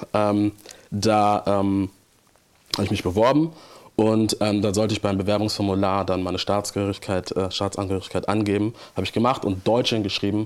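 In monotone, flat intonation, a man speaks with a fairly low pitch. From Hamburg, northern Germany. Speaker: theology student and church trainee. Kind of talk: church interview.

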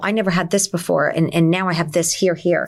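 A woman's medium-pitched voice in a New Jersey accent at a fairly quick pace, in a very clean recording with a silent background. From New Jersey, Essex County. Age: 50s. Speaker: wellness clinic owner. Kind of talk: casual interview.

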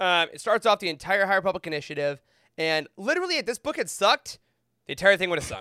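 A man speaks at a very fast pace in a raised, projected voice with high pitch, a bright, sharp tone and an enthusiastic tone. His intonation is lively, and the sound is dry and close with no echo. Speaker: Star Wars book expert. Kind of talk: casual chat.

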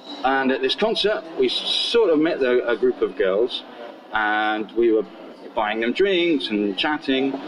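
Fairly slow speech from a man with very even loudness, set against noticeable background noise. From southern England (Portsmouth). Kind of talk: casual interview storytelling.

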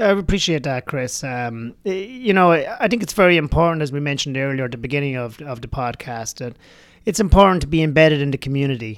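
A man talks at a very fast pace with a slight Irish accent. His pitch is fairly high and his intonation lively. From rural Ireland. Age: 40s. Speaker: bar general manager and runner. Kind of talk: interview. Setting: studio.

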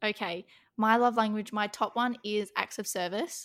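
A woman speaks with an Australian accent at a fairly high pitch, her intonation fairly even. The recording is very clean, with a silent background. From Western Australia. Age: young. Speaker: podcast co-host. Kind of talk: casual chat.

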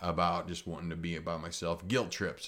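A man speaks with a Midwestern US accent on a very clean recording with a silent background. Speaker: tattoo artist and podcaster. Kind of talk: solo podcast monologue, casual. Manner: casual.

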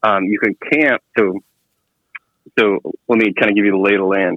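A man with an American accent. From Central Texas (near Waco). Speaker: motorcycle shop owner and teacher. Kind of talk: casual chat. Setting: phone call.

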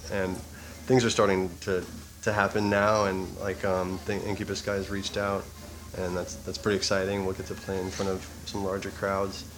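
Monotone, flat delivery at a moderate pace with music in the background. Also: man, fairly low pitch for a man. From Toronto, Canada. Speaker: bassist in a band. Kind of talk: interview. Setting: restaurant.

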